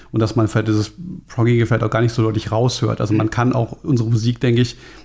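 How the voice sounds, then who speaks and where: Somewhat breathy, a man talks at medium pitch with fairly even intonation. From Germany, Frankfurt. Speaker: metal bassist. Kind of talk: podcast interview.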